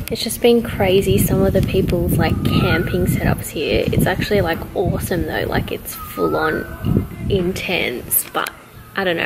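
Moderately paced speech from a woman over noticeable background noise. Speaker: travel vlogger. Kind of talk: casual vlog chat. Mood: relaxed, cheerful, a bit hot. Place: open country. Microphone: phone near.

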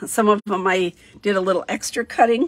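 Against a quiet background, a woman speaks at a fairly slow pace with vocal fry. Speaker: craft demonstrator. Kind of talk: tutorial.

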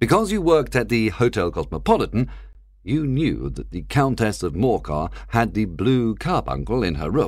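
A plain read-aloud delivery, lively in intonation

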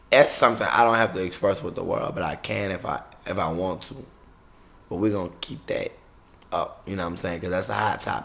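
A man speaks with an American accent. His pitch variation is ordinary. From US South, New Orleans; Louisiana. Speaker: YouTube vlogger and entertainer; YouTube vlogger. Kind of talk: casual vlog monologue to camera. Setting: recording on a camera. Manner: animated. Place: home room. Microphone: webcam.

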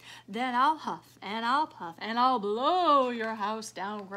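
Putting on a growling character voice, a woman speaks in a fairly high pitch at a fairly slow pace. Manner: growling, threatening.

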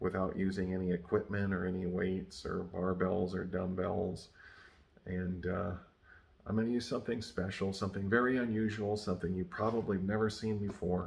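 Very deep and low, a man's voice moves at a moderate pace with monotone, flat intonation. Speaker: channel host. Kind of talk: casual vlog chat. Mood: relaxed, lightly amused. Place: home room. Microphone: phone near.

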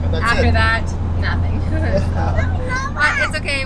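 A woman talks while crowd noise carries in the background. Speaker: travel vlogger. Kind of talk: casual vlog chat. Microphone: phone near.

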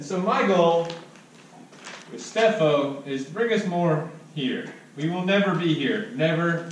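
A man talks over light background noise. There is audible echo in the room. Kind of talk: prepared speech. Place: classroom. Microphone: camera far.

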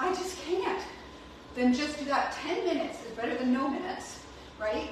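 A woman with a high voice speaks at a moderate pace in a strongly echoing room with noticeable background noise. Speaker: fitness coach. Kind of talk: workout class instruction. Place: gym. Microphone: camera far.

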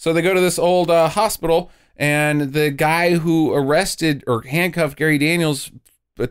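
Here is a man with an unremarkable speaking voice, fairly high in pitch. He keeps a moderate pace and ordinary pitch variation. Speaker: podcast host. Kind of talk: casual chat.

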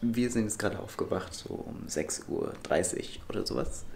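Lively intonation from a man at a fairly slow pace, with light background noise. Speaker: travel vlogger. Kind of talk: casual vlog chat. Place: home room. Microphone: phone near.

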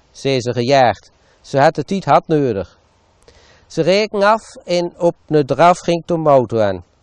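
Against a quiet background, a man talks at a very slow pace with lively intonation, the sound dry with no echo. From Achterhoek, eastern Gelderland. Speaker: local author and storyteller. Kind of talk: dialect short story reading. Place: garden. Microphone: lapel.

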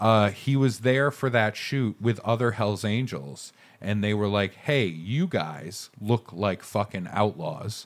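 A man speaks very slowly in a fairly low pitch, with lively intonation. He takes hardly any pauses. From Maine. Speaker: podcast co-host. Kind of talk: casual chat. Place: studio. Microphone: studio mic.

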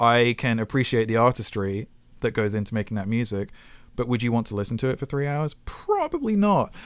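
Speaking with a British accent, a man keeps a medium pitch and ordinary pitch variation at a fairly quick pace. The recording is very clean, with a silent background. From Britain. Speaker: film and video game composer. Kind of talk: interview. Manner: hesitant with many fillers.

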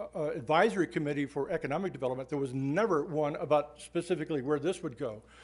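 A man's pitch shifts in an ordinary way as he talks. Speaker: public commenter. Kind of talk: public comment statement. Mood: critical, argumentative. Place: hall. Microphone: podium.

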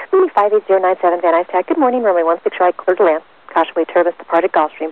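A woman's fairly low-pitched voice at a fairly quick pace, with ordinary pitch variation and a dry sound with no echo. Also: very even loudness. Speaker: air traffic controller. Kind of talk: clipped air traffic control radio instructions. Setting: radio transmission. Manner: rapid, clipped clearance delivery. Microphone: two way radio.

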